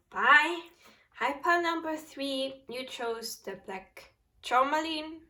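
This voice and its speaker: Her speech is very slow. She carries a non-native accent. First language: not English. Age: 20s. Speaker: tarot reader. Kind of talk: tarot reading.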